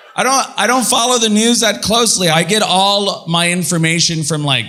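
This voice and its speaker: With noticeable background noise behind him, a man talks at a moderate pace with very wide pitch swings. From San Antonio, Texas. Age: young. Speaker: comedian. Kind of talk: stand-up.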